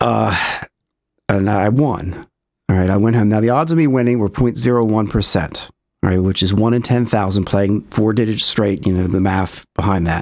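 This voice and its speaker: An unremarkable speaking voice moves at a moderate pace with ordinary pitch variation and very even loudness on a very clean recording with a silent background. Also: man, fairly low pitch for a man. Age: 50s. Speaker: documentary filmmaker and paranormal experiencer. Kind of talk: interview.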